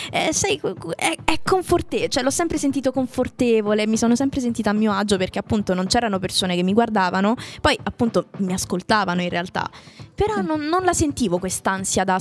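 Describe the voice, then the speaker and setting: Music plays in the background as a woman speaks at a fairly quick pace. Her fairly high voice has lively intonation. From Italy. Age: young. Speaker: voice actress, singer and actress. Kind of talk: casual chat. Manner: animated.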